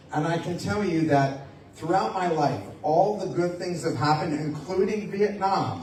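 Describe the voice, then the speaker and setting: Through noticeable background noise and audible room echo, a man speaks at a moderate pace with ordinary pitch variation. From United States. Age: 60s. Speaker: motivational speaker and lecturer. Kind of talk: public talk to an audience.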